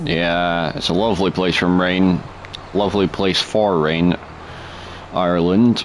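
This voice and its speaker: With a Scottish accent, a man with a very deep, low pitch talks at a fairly slow pace, his intonation fairly even and his long, frequent pauses set against noticeable background noise. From Scotland. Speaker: gaming streamer. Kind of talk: live gameplay commentary. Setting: live stream. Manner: casual, chatty.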